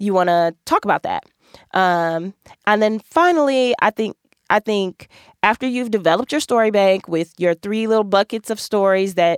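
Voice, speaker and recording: Medium in pitch, a woman with an American accent speaks in a plain, everyday voice. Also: dry, close sound with no echo. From US Midwest, Milwaukee. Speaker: podcast host and attorney. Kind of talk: casual monologue, career advice. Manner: conversational with many filler ums.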